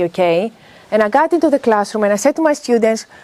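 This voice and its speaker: With a Greek accent, a woman talks in a fairly high voice with lively intonation. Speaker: business school professor. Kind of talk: workshop talk. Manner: animated.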